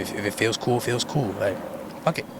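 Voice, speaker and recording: A man talking very fast with ordinary pitch variation over noticeable background noise. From New York City, Harlem. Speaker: rapper. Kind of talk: casual interview. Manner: laid-back.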